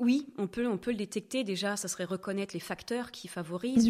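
The very clean recording, with its silent background, has a woman speaking at a moderate pace with ordinary pitch variation. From France, Normandy. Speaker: sexologist. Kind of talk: podcast interview. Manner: lively.

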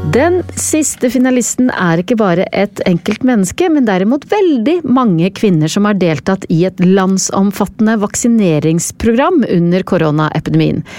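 A woman of medium pitch speaks at a moderate pace with a dark, mellow tone, lively intonation, very even loudness and hardly any pauses. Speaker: podcast host. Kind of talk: scripted narration.

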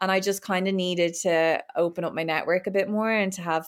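The recording is very clean with a silent background. A woman speaks with an Irish accent in a fairly low pitch, her intonation monotone and flat. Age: 20s. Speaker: Paralympic swimmer. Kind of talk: casual chat.

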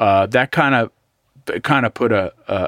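A man speaks in a plain, everyday voice at a fairly low pitch. The sound is dry and close with no echo, on a very clean recording with a silent background. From US West Coast, East Bay. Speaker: guitarist. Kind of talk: casual interview chat.

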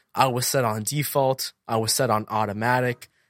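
With an unremarkable speaking voice, a man talks at medium pitch and a moderate pace, with ordinary pitch variation and a dry, close sound with no echo. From central Massachusetts. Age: 20s. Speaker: podcaster and entrepreneur. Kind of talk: interview conversation.

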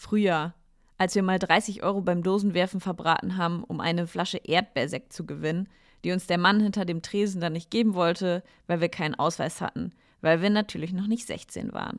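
In a very clean recording with a silent background, a woman with an unremarkable speaking voice and a fairly low pitch talks at a moderate pace with fairly even intonation. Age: 30s. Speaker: podcaster. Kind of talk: personal monologue.

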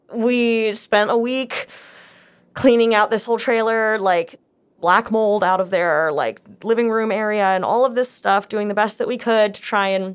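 On a very clean recording with a silent background, a woman with an unremarkable speaking voice talks at a moderate pace and fairly high pitch, with ordinary pitch variation. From United States, moved between many states. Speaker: podcast guest sharing life story. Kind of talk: personal storytelling interview. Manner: casual, with fillers and restarts.

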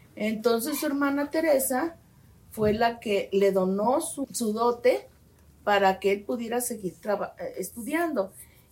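The speaker is a woman with a high voice. Her pitch varies in an ordinary way. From Mexico, Guadalajara, Jalisco. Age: 60s. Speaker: medical geneticist. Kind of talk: interview. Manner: halting.

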